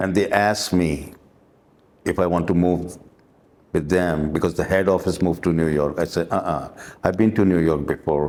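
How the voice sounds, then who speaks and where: With a Pakistani accent, a man speaks at a moderate pace in a very deep, low pitch, his tone dark and mellow and his pitch varying in an ordinary way. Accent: South Asian (Pakistani) English. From Dubai, raised by Pakistani family. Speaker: musician and former limo driver. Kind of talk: interview, life story. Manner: halting, with fillers.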